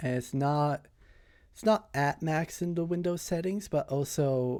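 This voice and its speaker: Quiet and dark, mellow in tone, a man speaks with ordinary pitch variation in a very clean recording with a silent background. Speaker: streamer. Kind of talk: casual live stream chat. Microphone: microphone too quiet, gain adjusted.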